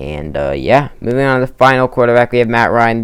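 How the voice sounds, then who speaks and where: This man talks at a medium pitch. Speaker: gaming YouTuber. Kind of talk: casual commentary video. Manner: fast; filler-heavy, hesitant.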